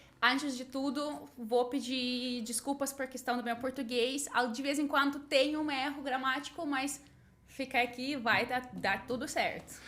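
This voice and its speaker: Against noticeable background noise, a woman speaks slowly in a high, flat monotone. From Latvia, Riga. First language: Russian and Latvian (speaking Portuguese). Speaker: English teacher and translator. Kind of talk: podcast interview.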